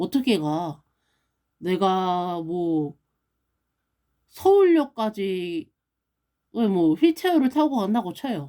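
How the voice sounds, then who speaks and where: A woman with a dark, mellow, medium-pitched voice speaks at a very slow pace with long, frequent pauses and very wide pitch swings. The recording is very clean with a silent background. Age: 30s. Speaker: stroke survivor vlogger. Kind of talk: casual vlog monologue.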